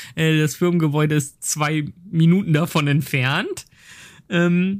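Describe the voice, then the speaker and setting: A man with a fairly high voice, speaking at a very slow pace on a very clean recording with a silent background. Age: 30s. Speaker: game producer. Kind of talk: casual chat.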